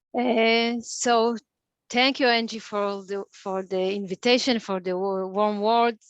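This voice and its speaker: A woman's fairly high voice, very slow and fairly even in intonation, with a dry, close sound and no echo. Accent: non-native. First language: Hebrew. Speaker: clinical psychologist. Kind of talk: interactive lecture. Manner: halting, many fillers.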